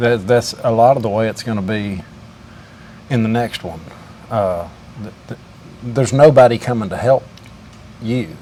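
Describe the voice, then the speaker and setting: A man of medium pitch speaks at a moderate pace with ordinary pitch variation, big swings in loudness and long, frequent pauses over noticeable background noise. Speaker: welder. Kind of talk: casual interview and commentary to camera.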